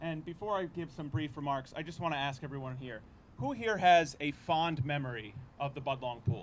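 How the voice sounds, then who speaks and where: A fairly high-pitched man at a fairly quick pace, with ordinary pitch variation and audible room echo. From Cranston, Rhode Island, US. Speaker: city councillor. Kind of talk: public speech at news conference.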